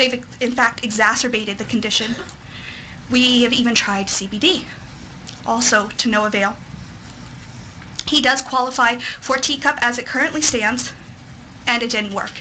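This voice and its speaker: An American-accented woman with a high pitch speaks at a moderate pace with fairly even intonation and long, frequent pauses, amid noticeable background noise. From Texas. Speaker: parent advocate. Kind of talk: testimony. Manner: formal.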